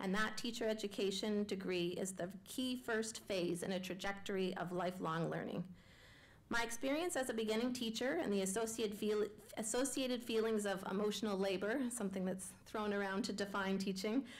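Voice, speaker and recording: Audible room echo surrounds a woman speaking at a fairly quick pace with a Canadian accent and very even loudness. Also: medium pitch for a woman, ordinary pitch variation. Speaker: education researcher. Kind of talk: public lecture.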